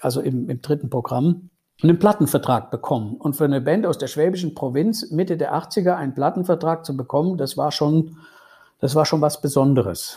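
A fairly high, somewhat breathy male voice with a dark, mellow tone, moderate pace and ordinary pitch variation, in a very clean recording with a silent background. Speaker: lawyer and former rock guitarist. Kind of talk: interview. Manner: hesitant with many fillers.

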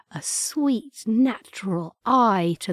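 Very slow speech in an English accent, with a dry, close sound and no echo. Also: woman. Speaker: podcast host reading poetry. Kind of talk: reading aloud.

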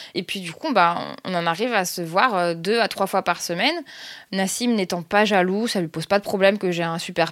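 A woman is speaking at a moderate pace. Her pitch sits in the medium range. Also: very clean recording, silent background. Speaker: storyteller sharing her love story. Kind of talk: personal story narration. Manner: hesitant, many fillers.

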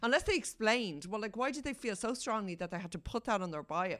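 A fairly quick voice with an Irish accent, a bright, sharp tone and very wide pitch swings. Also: woman, very clean recording, silent background. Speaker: newspaper features editor and columnist, podcast co-host. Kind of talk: casual chat.

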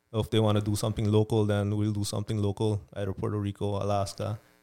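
A man talks at a fairly quick pace with a fairly low pitch. Music plays in the background. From Belize. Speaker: mission trip organizer. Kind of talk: casual interview.

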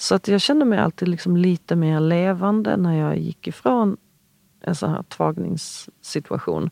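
The sound is dry and close with no echo. A woman speaks at a fairly slow pace. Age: 40s. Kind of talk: interview conversation. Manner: halting, many fillers and restarts.

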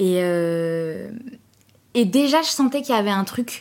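This woman speaks. Her pace is fairly slow. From France, Trappes (Yvelines), Algerian heritage. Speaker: actress and improv coach. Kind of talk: casual interview chat. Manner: hesitant, many fillers and repetitions.

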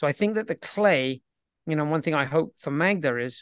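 A British accent at a moderate pace, dry and close with no echo, over a quiet background. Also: man. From Britain. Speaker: professional tennis coach. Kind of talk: casual interview chat.

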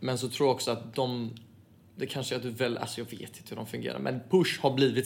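The delivery is very fast, with fairly even intonation. Vocal fry runs through the voice. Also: man. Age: 20s. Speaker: footballer. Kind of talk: casual chat.

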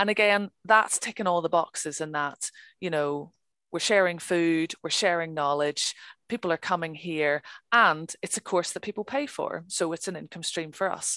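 Against a quiet background, a woman with a Northern Irish accent speaks at a fairly low pitch with ordinary pitch variation, the sound dry and close with no echo. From Northern Ireland. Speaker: crofter. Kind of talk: interview. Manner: talkative.

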